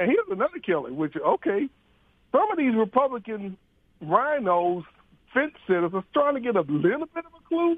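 A man's extremely high-pitched voice at a fairly quick pace, with very wide pitch swings and big jumps in loudness. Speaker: caller. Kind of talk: call-in talk radio. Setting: phone call.

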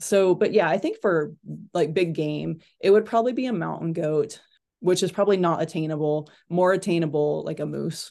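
A woman speaks at a moderate pace and fairly low pitch, with vocal fry and a dark, mellow tone. Her pitch variation is ordinary, and the background is quiet. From Kentucky, inner city. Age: 40s. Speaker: hunter. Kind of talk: casual chat.

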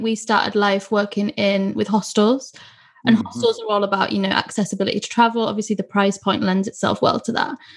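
A woman speaks at a fairly quick pace with a fairly high pitch. Her voice is somewhat breathy. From northeast England. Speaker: podcast host, marketing agency co-founder. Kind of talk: interview.

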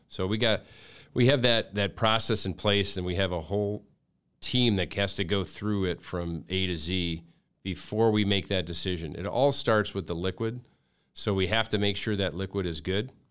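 A normal speaking voice with an American accent, a moderate pace and ordinary pitch variation on a very clean recording with a silent background. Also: man, fairly low pitch for a man. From Metro Detroit, Michigan. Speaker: brewery company president. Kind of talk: casual interview.

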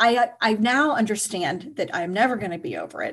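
A woman with an unremarkable speaking voice talks at a fairly quick pace. Her pitch varies in an ordinary way, and the background is quiet. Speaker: writer and energy healer. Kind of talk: personal testimony in interview.

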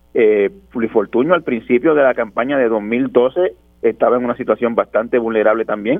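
This man has a medium-pitched voice. He talks at a fairly quick pace. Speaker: journalist. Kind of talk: radio interview. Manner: halting, repeats words.

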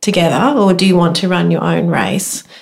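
This woman speaks at a moderate pace. Her pitch is medium. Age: 50s. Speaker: amateur runner. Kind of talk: casual chat.

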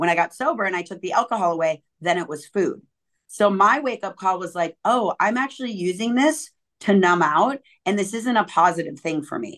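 Against a quiet background, a woman with an ordinary speaking voice talks at a fairly quick pace with lively intonation. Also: medium pitch for a woman. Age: 40s. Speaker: fitness coach and motivational speaker. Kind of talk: interview conversation.

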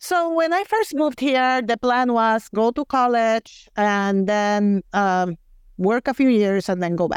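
A woman with a fairly high pitch and lively intonation speaks at a fairly slow pace and a very even loudness, the sound dry and close with no echo over a quiet background. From Puerto Rico. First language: Spanish. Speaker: community theater actor. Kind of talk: casual interview.

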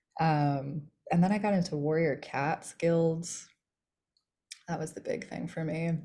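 Speaking at a fairly slow pace with long, frequent pauses, a woman uses a dark, mellow tone, a fairly low pitch and fairly even intonation. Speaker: author. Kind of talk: casual chat.

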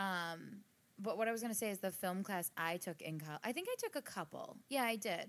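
A woman speaks in an American accent with a normal speaking voice and a medium pitch. Her pace is fairly quick and her intonation lively. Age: 30s. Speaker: podcast co-host. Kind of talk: casual chat. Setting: home recording studio.

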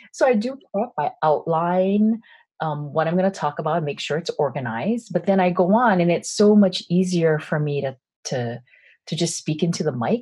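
A woman with an American accent, fairly low in pitch and somewhat breathy, her tone dark and mellow, at a moderate pace against a quiet background. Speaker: business coach and podcaster. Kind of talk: interview conversation. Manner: projecting, not monotone.

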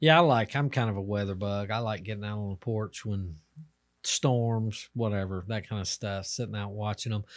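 In a very clean recording with a silent background, a man with an American accent talks at a fairly low pitch, using ordinary pitch variation in an unremarkable speaking voice. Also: moderate pace. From United States. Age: 50s. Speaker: podcast host. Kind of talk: casual chat.

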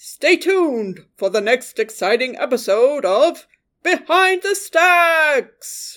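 In a very clean recording with a silent background, a put-on character voice speaks very slowly at a high pitch. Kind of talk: overly enthusiastic announcer. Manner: exaggerated, terribly dubbed.

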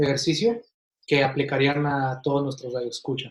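Here a man speaks at a fairly high pitch. His voice is somewhat breathy, with ordinary pitch variation. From Mexico, Ciudad Juárez, Chihuahua, then Kansas City from age ten. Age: 20s. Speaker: physiotherapist. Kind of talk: interview. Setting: at home, remote.

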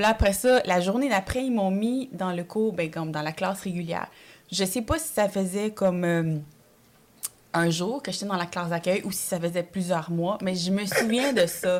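Here a woman talks at a moderate pace in a normal speaking voice. Her pitch is medium, with ordinary variation. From Quebec, Montreal (arrived from El Salvador at age 5). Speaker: comedian. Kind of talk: casual chat.

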